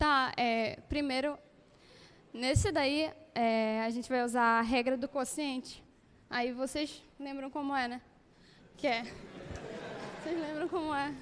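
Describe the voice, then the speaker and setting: A woman with a high voice speaks very slowly and fairly evenly, with long, frequent pauses over noticeable background noise. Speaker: engineering student; presenter. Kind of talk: solving at the board. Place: classroom. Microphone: handheld.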